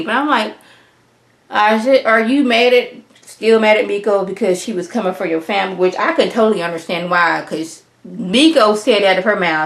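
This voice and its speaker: A voice with ordinary pitch variation, delivered at a moderate pace. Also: woman. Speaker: YouTuber reviewing reality TV. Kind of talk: TV show review monologue. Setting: home recording with green screen. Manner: animated.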